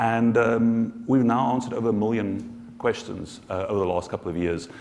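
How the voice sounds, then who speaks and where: There is noticeable background noise as a man with a South African accent speaks at a moderate pace. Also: medium pitch for a man, fairly even intonation. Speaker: social enterprise founder. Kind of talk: conference panel discussion. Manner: halting, many repetitions.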